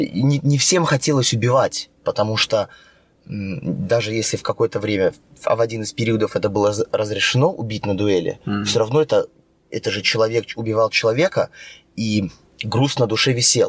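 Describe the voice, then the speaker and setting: A somewhat breathy voice speaks at a moderate pace with a dry, close sound and no echo. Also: man, medium pitch for a man, ordinary pitch variation. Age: 30s. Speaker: actor and stunt coordinator. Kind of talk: casual chat.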